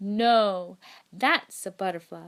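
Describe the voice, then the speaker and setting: A woman uses a put-on character voice at a medium pitch. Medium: read story. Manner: cheerful, playful.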